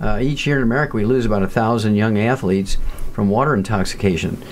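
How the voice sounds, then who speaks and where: This man races along at a very fast pace. Ordinary pitch variation marks his voice. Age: 70s. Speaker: nutritionist and pathologist. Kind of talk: interview.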